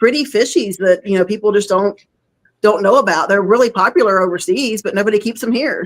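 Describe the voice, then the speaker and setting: Talking at a very fast pace, a woman with a Southern accent speaks at a medium pitch. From North Florida / South Georgia. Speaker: fish hobbyist. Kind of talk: casual chat.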